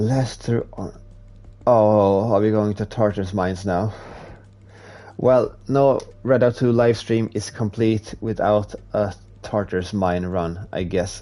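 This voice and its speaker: Very slow delivery with a Swedish accent, dark and mellow tone, fairly even intonation, and long, frequent pauses. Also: man, fairly low pitch for a man. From Sweden, Stockholm. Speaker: video game streamer. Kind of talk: live gameplay stream chat. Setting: live stream.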